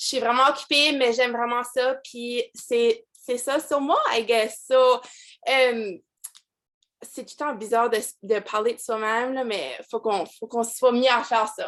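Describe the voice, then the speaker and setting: A high-pitched woman speaks at a fairly slow pace with fairly even intonation and big swings in loudness. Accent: Acadian. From Acadian New Brunswick, Canada. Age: 20s. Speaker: direct sales team leader. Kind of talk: motivational team call talk. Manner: casual, many fillers and English code-switching.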